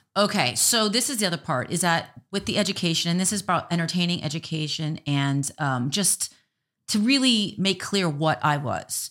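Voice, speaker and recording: On a very clean recording with a silent background, a woman with an American accent and an unremarkable speaking voice talks at a moderate pace, her fairly low pitch carried by lively intonation. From Miami, Florida. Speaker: restaurant owner and business coach. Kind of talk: casual interview.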